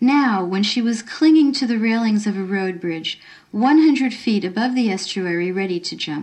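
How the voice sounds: This is a natural reading voice. The text is read plainly.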